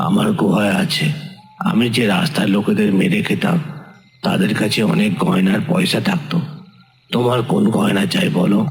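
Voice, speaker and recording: A man speaks at a moderate pace in a high-pitched, cartoonish character voice with very wide pitch swings and a clear echo. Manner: humble, pleading.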